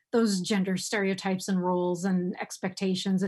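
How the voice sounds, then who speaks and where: On a very clean recording with a silent background, a woman with an American accent speaks at a medium pitch in a somewhat breathy voice. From United States. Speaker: sex and relationship advice writer. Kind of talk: interview conversation. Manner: heavy sighs.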